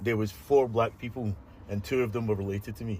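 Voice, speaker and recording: Somewhat breathy, a man speaks at a fairly low pitch and a fairly quick pace. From Scotland. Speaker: social media creator. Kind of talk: interview conversation; social media monologue.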